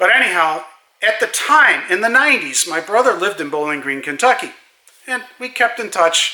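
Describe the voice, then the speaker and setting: Raising and projecting his voice, a man talks at a moderate pace in a high pitch with very wide pitch swings. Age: 70s. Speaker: car enthusiast vlogger. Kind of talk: casual monologue. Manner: hesitant, with fillers.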